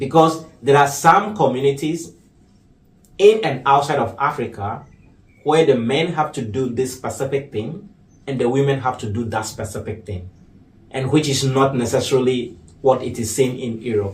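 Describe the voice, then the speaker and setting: A man's medium-pitched, somewhat breathy voice moves at a moderate pace with ordinary pitch variation. Audible room echo surrounds it. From Ghana. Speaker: artist and activist. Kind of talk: interview.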